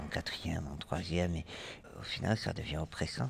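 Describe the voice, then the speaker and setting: A man's very deep, low voice with vocal fry. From Toulouse, southwestern France. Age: 20s. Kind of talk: testimony. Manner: halting, many hesitations and repetitions.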